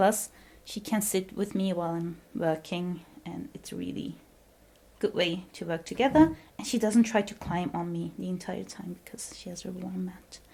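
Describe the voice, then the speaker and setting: In a Dutch accent, a woman talks at a moderate pace with a dark, mellow tone and vocal fry. The recording is very clean, with a silent background. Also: medium pitch for a woman, ordinary pitch variation. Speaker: PhD student vlogger. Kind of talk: home tour vlog. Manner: casual, with fillers.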